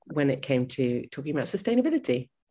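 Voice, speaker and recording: Someone speaks at a fairly quick pace with an American accent. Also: woman. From US, New York City. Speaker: travel journalist. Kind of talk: interview.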